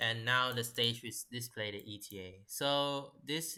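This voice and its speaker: The voice has a bright, sharp tone and a non-native accent. Its intonation is fairly even. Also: man. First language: not English. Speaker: software developer. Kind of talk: tutorial. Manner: halting.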